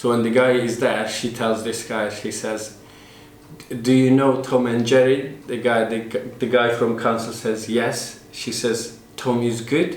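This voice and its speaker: With noticeable background noise and audible room echo, a man talks at a fairly slow pace in a medium pitch and a monotone, flat intonation. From Turkey. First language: Turkish. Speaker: interviewee, Turkish immigrant. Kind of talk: documentary interview.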